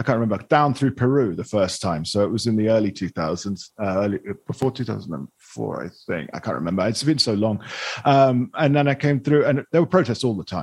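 A man with an ordinary speaking voice talks at a fairly quick pace in a medium pitch. His intonation is lively, with a quiet background. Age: 40s. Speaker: podcast host, journalist and hotelier. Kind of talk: casual interview chat.

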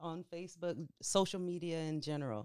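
This woman has an unremarkable speaking voice with a fairly low pitch. She talks at a moderate pace with ordinary pitch variation. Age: 30s. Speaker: podcast assistant. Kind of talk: casual chat.

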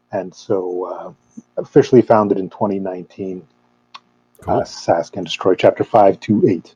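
A man's fairly low, dark, mellow voice with a Canadian accent, fairly even intonation and a fairly slow pace, dry and close with no echo. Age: 30s. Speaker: metal fan club member. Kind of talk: casual chat. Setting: video call.

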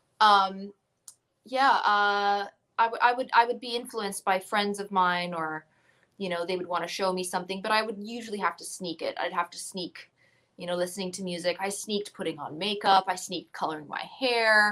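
A woman speaks at a moderate pace with a medium pitch and a bright, sharp tone. Her loudness swings a lot while her intonation stays fairly even. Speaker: musician. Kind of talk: casual chat. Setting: video call.

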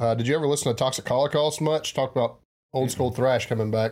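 With a strong Southern US accent, a man speaks at medium pitch. His intonation is fairly even, and the recording is very clean with a silent background. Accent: heavy Southern US. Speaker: podcast host. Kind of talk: casual chat.

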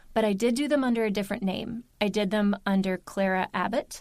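A woman with an American accent speaks at a fairly quick pace in an unremarkable speaking voice, medium in pitch with ordinary pitch variation. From US Mid-Atlantic, Baltimore, Maryland. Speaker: audiobook narrator. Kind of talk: casual interview chat.

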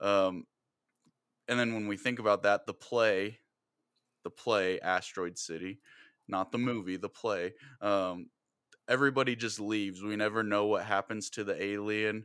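A man with a fairly low pitch speaks at a moderate pace with fairly even intonation, taking long, frequent pauses. The recording is very clean with a silent background. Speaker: podcast host and teacher. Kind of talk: casual chat. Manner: rambling, hesitant, with many fillers.

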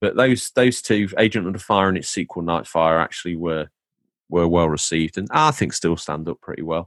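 With an English accent, a man with a very deep, low pitch speaks at a fairly quick pace in an animated tone with ordinary pitch variation against a quiet background. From England. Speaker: podcast host. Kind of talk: casual chat. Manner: animated, jokey.

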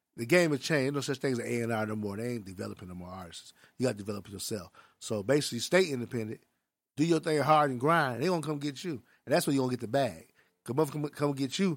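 Lively intonation at a very fast pace. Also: man, medium pitch for a man. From Milwaukee, Wisconsin. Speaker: music executive and liquor entrepreneur. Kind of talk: casual interview.

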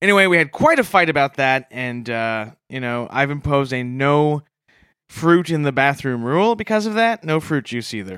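In a very clean recording with a silent background, a man with a fairly high voice makes very wide pitch swings. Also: moderate pace. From Canada. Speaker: comedy podcast co-host. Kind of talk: comedic podcast banter.

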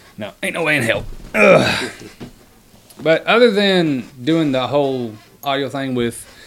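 A man talks at a fairly slow pace with lively intonation and long, frequent pauses, against noticeable background noise. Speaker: author. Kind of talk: casual chat.

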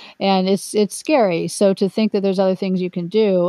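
A woman's medium-pitched voice at a fairly quick pace, an unremarkable speaking voice. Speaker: podcast host and retirement coach. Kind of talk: interview, conversational.

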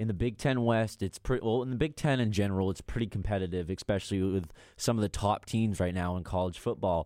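Over a silent background on a very clean recording, a man with an American accent speaks very fast with hardly any pauses, his fairly low voice dark and mellow in tone with ordinary pitch variation. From Maine, US Northeast. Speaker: sports podcast co-host. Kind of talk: casual sports talk.

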